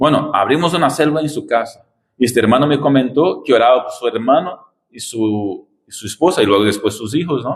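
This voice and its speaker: A man with a non-native accent talks at a fairly quick pace with lively intonation, and the room echo is audible. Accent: foreign accent in Spanish. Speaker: visiting pastor. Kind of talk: sermon. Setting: church.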